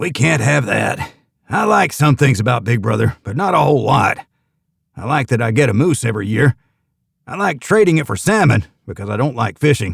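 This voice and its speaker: Putting on a gruff character voice, a man delivers lines in a deadpan tone at a fairly quick pace, his medium pitch making very wide swings. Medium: read story. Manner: gruff, blunt, deadpan.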